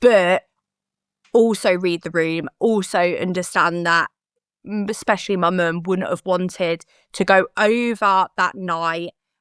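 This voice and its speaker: A woman with a British accent speaks at medium pitch in a very clean recording with a silent background and a dry, close sound with no echo. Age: 30s. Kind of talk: interview answer.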